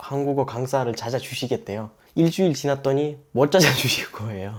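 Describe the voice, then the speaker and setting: A man with an Uzbek accent speaks at a moderate pace with ordinary pitch variation. The recording is very clean, with a silent background. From Uzbekistan. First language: Uzbek (speaking Korean). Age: 20s. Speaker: immigrant interviewee. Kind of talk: interview. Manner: halting.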